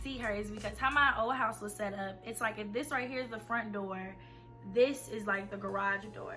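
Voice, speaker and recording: A woman's fairly high voice at a moderate pace, with ordinary pitch variation, big swings in loudness and music in the background. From Atlanta, Georgia. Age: 20s. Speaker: college student. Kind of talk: casual storytime talk to camera.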